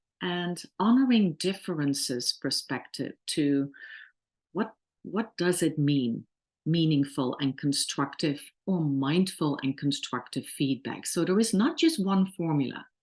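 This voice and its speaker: A fairly low-pitched woman with a Dutch accent and lively intonation, at a fairly slow pace over a quiet background. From Netherlands. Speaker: workplace trainer. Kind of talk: webinar lecture. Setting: online webinar.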